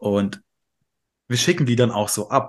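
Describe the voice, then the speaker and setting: At a moderate pace, a man with a medium pitch speaks over a quiet background. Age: 30s. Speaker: podcast co-host. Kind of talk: casual chat.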